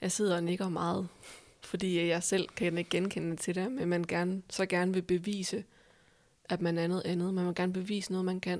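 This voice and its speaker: A woman speaks at a moderate pace in a medium pitch with flat, monotone intonation on a very clean recording with a silent background. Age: 20s. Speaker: podcast host. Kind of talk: casual interview.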